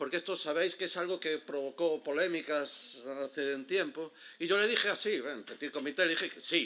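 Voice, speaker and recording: Fairly high male pitch with ordinary pitch variation, a bright, sharp tone and an Andalusian accent. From Galicia, Spain. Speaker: heritage interpretation guide. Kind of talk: conference talk. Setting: stage with audience. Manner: fast; casual, with many fillers and false starts.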